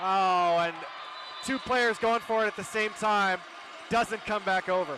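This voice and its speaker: A man's raised, projected voice, high in pitch, with fairly even intonation at a fairly slow pace over noticeable background noise. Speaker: play-by-play sports commentator. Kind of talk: live commentary. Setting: gym with loud crowd. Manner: loud, shouting.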